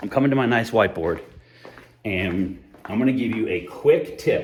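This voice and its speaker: Somewhat breathy, a man talks with audible room echo around his voice. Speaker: employee benefits consultant. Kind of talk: whiteboard explainer talk. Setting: empty office building basement. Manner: fast; animated.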